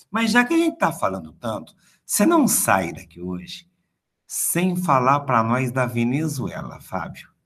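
Very wide pitch swings in a man's fairly slow, medium-pitched speech. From interior of São Paulo state (Presidente Prudente), then Rio from age 11. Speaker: history professor. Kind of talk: interview.

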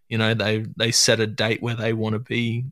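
A man's medium-pitched voice with an Australian accent at a moderate pace. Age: 30s. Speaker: hunting podcast host. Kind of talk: casual chat.

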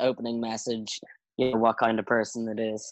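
A man with an Irish accent talks at a fairly quick pace, with a dry, close sound with no echo. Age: 20s. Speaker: podcast guest. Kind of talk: casual chat.

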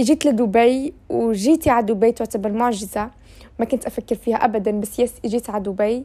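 A woman with a fairly high pitch and a dark, mellow tone speaks with ordinary pitch variation. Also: moderate pace. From Syria, Aleppo. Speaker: podcaster. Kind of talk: casual monologue. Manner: casual with English fillers.

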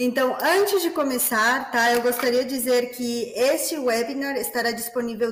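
A woman with a high pitch and ordinary pitch variation speaks amid noticeable background noise and audible room echo. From Peru. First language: Spanish (speaking Portuguese). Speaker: business development manager. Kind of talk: webinar moderation. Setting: online webinar.

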